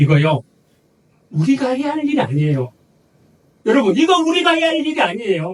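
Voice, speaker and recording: The man's pitch is extremely high, with very wide pitch swings. He talks at a fairly quick pace but leaves long, frequent pauses. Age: 60s. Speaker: pastor. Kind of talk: sermon.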